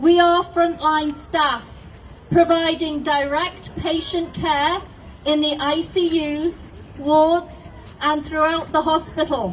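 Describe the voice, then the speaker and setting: A woman speaks at an extremely high pitch in a monotone, flat delivery. Her pace is very slow, and there is noticeable background noise. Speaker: nurse. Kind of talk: prepared public statement. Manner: confident, passionate.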